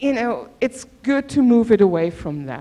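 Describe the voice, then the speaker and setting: A woman speaks in a German accent at a moderate pace. Her pitch is fairly high and her intonation lively. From Germany. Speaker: professor. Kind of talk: workshop presentation. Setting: auditorium.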